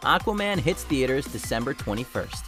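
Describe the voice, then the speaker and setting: A man with an American accent talks at a moderate pace in an upbeat tone. Music plays in the background. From United States. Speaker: voice actor. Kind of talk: online entertainment video narration. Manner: upbeat, conversational.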